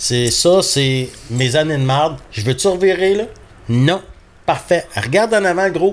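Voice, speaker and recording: With a Quebec accent, a man talks at a fairly slow pace in a high pitch, his intonation lively. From Labrador, Canada. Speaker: hunting dog breeder. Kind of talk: casual interview.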